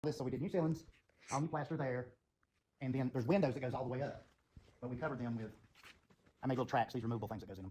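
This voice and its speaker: A man's somewhat breathy voice has a dark, mellow tone, a medium pitch and lively intonation. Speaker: building owner and former student. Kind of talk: guided tour.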